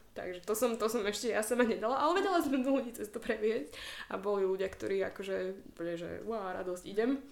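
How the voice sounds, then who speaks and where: Speaking at a very fast pace, a woman's voice sits fairly high in pitch. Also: lively intonation. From Slovakia. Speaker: yoga instructor. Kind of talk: casual chat.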